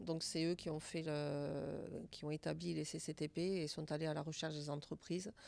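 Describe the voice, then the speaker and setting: Her intonation stays fairly even. This woman's pitch is very deep and low. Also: moderate pace. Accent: slight southern French. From southern France, Albi. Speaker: senior residence director. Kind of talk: interview.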